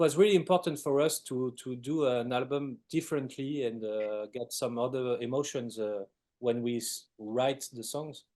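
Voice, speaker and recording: In a French accent, a man speaks at a moderate pace with a dark, mellow tone. The background is quiet, and his medium pitch has ordinary variation. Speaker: rock band musician. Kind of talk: interview.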